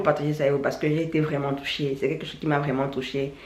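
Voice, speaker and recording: Audible room echo surrounds a woman speaking at a fairly quick pace with very deep, low pitch. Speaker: YouTuber, natural hair vlogger. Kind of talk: vlog monologue. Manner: halting, repetitive.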